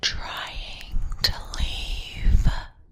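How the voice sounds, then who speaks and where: Whispering, a woman puts on a character voice. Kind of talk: horror narration. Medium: read story. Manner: whispering, quiet; calm, sinister.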